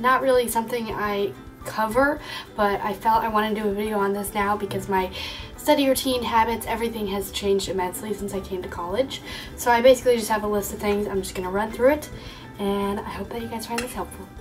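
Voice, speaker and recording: Music plays in the background as a woman with fairly high pitch talks at a very fast pace with fairly even intonation. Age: young. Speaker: college student. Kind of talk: casual talk to camera.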